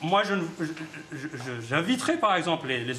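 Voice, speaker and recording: Lively intonation and a fairly quick pace come through audible room echo and noticeable background noise. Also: man. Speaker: human rights activist. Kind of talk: press conference. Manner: halting, many repetitions.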